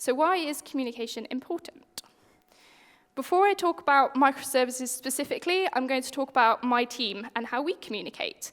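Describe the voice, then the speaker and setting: A woman with a British accent, high-pitched, at a fairly quick pace with lively intonation. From UK. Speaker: software engineer, conference speaker. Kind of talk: conference talk. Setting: stage with audience. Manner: conversational.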